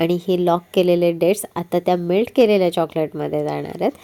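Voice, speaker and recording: This woman has a fairly low pitch and a dark, mellow tone. Her intonation is fairly even. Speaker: home cook. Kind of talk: cooking tutorial narration. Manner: warm, friendly.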